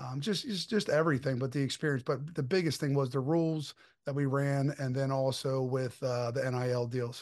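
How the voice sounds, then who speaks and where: A man with an American accent speaks at medium pitch in an unremarkable speaking voice. His intonation is fairly even, over a quiet background. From Delaware, US. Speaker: wrestling event organizer. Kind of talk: casual interview. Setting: video podcast.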